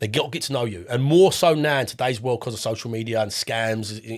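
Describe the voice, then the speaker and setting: A man with an Estuary English accent speaks at a fairly quick pace, his medium pitch showing ordinary variation. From southeast England, Essex near London. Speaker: property investor. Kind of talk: podcast interview. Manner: casual, repeats words.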